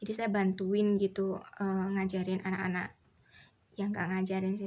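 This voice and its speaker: A woman's medium-pitched voice at a fairly quick pace, in a monotone, flat intonation. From Indonesia, Solo (Central Java). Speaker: vlogger. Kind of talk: casual chat.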